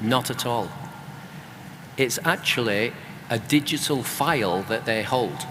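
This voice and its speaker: A British accent at a fairly slow pace with long, frequent pauses and ordinary pitch variation, over noticeable background noise. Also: man, medium pitch for a man. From UK. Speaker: author and creative economy expert. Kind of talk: panel discussion.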